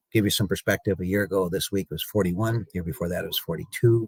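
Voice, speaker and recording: With a dry, close sound and no echo, a man speaks in an American accent at a fairly low pitch, fairly quickly and with ordinary pitch variation. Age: 60s. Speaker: cattle market analyst. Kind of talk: radio interview. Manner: halting, many fillers.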